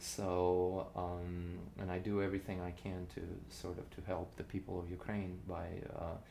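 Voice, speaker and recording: In a Russian accent, a man with a very deep, low pitch speaks with fairly even intonation amid audible room echo. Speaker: cellist and composer. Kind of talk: casual interview chat. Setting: informal show recording with drinks. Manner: halting, many fillers and restarts.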